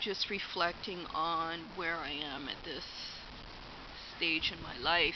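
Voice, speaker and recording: A woman with a fairly low pitch and fairly even intonation, at a very slow pace with long, frequent pauses, and audible room echo. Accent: Canadian. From Alberta, Canada. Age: 40s. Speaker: vlogger. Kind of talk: personal vlog monologue. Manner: hesitant, many fillers.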